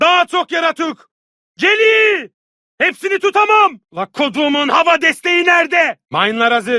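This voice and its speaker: Using a put-on character voice, a man speaks at a moderate pace with an extremely high pitch. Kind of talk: video game dubbing. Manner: shouted combat callouts.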